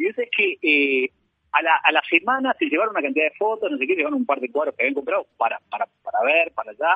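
With very wide pitch swings, a man speaks in a high voice at a very fast pace. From Uruguay. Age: 50s. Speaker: painter. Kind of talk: interview. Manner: halting, many repetitions and fillers.

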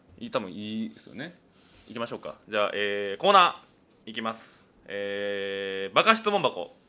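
A man speaks at a moderate pace, his loudness swinging a lot. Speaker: comedian. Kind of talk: solo radio talk. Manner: talkative.

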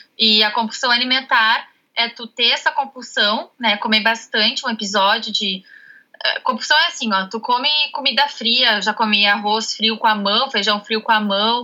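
This woman has an unremarkable speaking voice, fairly high in pitch, with ordinary pitch variation and a moderate pace. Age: 20s. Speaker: nutrition student. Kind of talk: interview.

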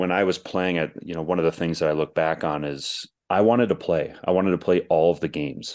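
A man at a moderate pace. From Minnesota. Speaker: former hockey goaltender. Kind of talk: interview.

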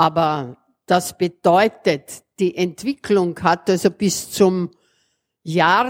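A woman talks at a very slow pace. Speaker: association vice-president. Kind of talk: speech.

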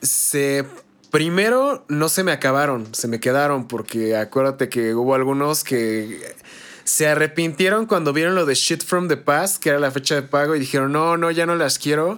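A man with a Mexican accent, his voice fairly high, at a moderate pace. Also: ordinary pitch variation, very even loudness. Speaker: gaming podcast host. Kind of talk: casual chat.

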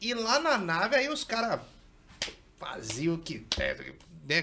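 A man's raised, projected voice, high-pitched for a man, with lively intonation, a fairly slow pace and long, frequent pauses. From São Paulo state interior, Brazil. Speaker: podcast host. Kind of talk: casual chat.

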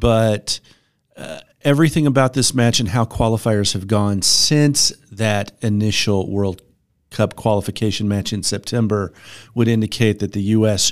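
A man talks at a fairly slow pace in an unremarkable speaking voice. His pitch sits at a medium level and varies in an ordinary way. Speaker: financial advisor. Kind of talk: casual business discussion. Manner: conversational, hedging with fillers.

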